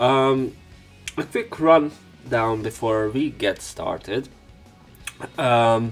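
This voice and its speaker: Against music in the background, a man speaks at a very slow pace and a medium pitch, with ordinary pitch variation and long, frequent pauses. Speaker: let's play commentator and narrator. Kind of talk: casual talk to camera.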